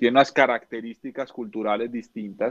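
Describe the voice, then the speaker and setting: At a moderate pace, a man delivers his words with fairly even intonation at a medium pitch. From Colombia, Neiva, Huila. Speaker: entrepreneur, finance company founder. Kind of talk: casual interview chat. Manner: halting, many repetitions and fillers.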